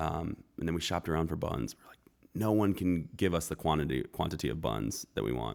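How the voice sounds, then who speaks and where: A man's very deep, low voice with vocal fry, lively intonation and big swings in loudness. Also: fairly quick pace. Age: 30s. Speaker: chef and restaurant owner. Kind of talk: casual chat. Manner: relaxed.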